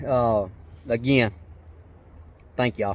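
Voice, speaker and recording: A man with an American accent, medium in pitch, with ordinary pitch variation and a moderate pace. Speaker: vlogger. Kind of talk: casual vlog talk. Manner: halting, many fillers.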